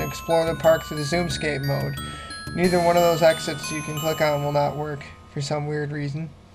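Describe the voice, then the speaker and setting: Moderate-paced speech with music in the background. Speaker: video game reviewer. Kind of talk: casual gameplay review commentary.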